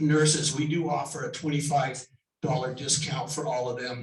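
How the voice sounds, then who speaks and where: A man with an ordinary speaking voice talks in a fairly high pitch with ordinary pitch variation. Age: 60s. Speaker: home inspector and building contractor. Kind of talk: sponsor presentation at a business meeting. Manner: casual with many fillers.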